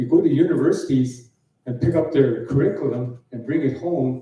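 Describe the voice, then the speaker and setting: In a room with audible echo, a man speaks at medium pitch and a moderate pace, somewhat breathy, with a dark, mellow tone and fairly even intonation. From northwestern Alberta, Canada (Dene community, Meander River). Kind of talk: conference talk. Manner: halting, with frequent fillers and repetitions.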